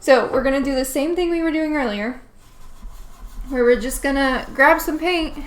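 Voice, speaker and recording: Audible room echo surrounds a woman's voice. She speaks at a moderate pace with ordinary pitch variation. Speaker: painting streamer. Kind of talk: live painting tutorial stream. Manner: animated.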